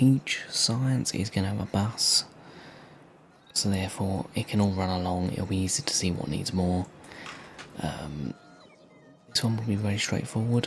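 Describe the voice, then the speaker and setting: Soft-spoken and calm in tone, a man with a fairly low pitch talks at a moderate pace with ordinary pitch variation and long, frequent pauses over noticeable background noise. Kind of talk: casual gaming commentary, relaxed ASMR-style let's play. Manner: soft-spoken, calm, relaxing.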